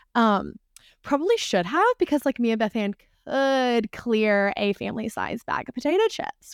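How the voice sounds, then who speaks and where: Her voice is high-pitched, in a Southern US accent, at a moderate pace. The sound is dry and close with no echo, on a very clean recording with a silent background. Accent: Southern American. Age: 20s. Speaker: nutrition coaching client. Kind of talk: casual chat.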